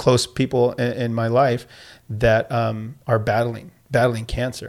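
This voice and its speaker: Recorded very cleanly against a silent background, a man with an American accent speaks at a medium pitch in a monotone, flat way. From Southern California, Escondido. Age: 40s. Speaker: PE teacher and coach. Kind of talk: casual interview. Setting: studio.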